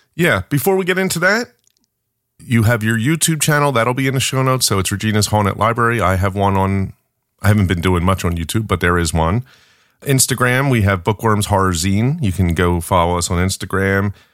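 A normal speaking voice moves at a fairly quick pace with lively intonation and very even loudness, recorded very cleanly over a silent background. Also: man, fairly low pitch for a man. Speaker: podcast host and horror zine editor. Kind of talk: casual chat.

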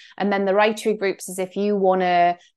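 Against a quiet background, a woman with a North East England accent talks at a fairly quick pace. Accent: Northeast English (Geordie-area). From northeast England. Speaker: Substack creator and mentor. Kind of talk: solo podcast monologue update. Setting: screen share recording, also put on YouTube. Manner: casual, conversational, reflective.

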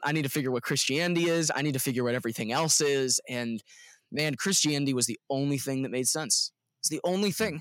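Recorded very cleanly against a silent background, with a dry, close sound and no echo, a man speaks at a medium pitch with ordinary pitch variation in a plain, everyday voice. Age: 20s. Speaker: worship leader. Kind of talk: casual chat.

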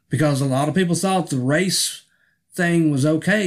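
An ordinary speaking voice, a man with an American accent talks at a moderate pace with a fairly high pitch and ordinary pitch variation, captured in a very clean recording with a silent background. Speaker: pastor. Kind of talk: spoken commentary.

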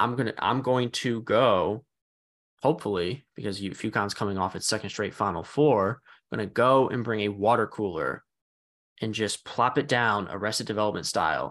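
A man with an ordinary speaking voice talks at a moderate pace and fairly low pitch, with ordinary pitch variation, over a quiet background. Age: 30s. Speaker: sports podcast co-host. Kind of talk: casual chat.

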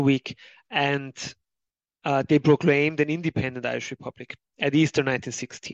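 The speaker has a German accent. The pace is fairly slow. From Austria. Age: 30s. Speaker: history author. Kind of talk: interview. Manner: halting, many fillers.

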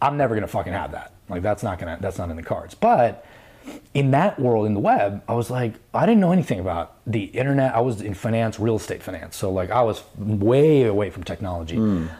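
A man's fairly low, dark, mellow voice with an American accent, somewhat breathy, fairly quick and lively in intonation. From New York. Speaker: company founder. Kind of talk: casual chat.

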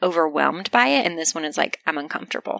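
Soft-spoken and very fast, the voice has a bright, sharp tone in a dry, close sound with no echo. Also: woman. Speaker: podcast host. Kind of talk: casual chat.

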